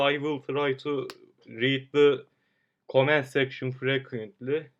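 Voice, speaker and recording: In a Turkish accent, a man with a fairly high voice speaks in a monotone, flat way. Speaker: amateur 3D modeler streamer. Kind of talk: live stream tutorial. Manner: slow; halting.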